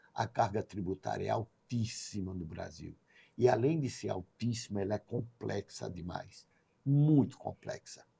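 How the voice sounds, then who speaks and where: With vocal fry and a dark, mellow tone, a man talks fairly slowly at a fairly low pitch and with lively intonation, in a dry, close sound with no echo. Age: 60s. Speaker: businessman. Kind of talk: podcast interview.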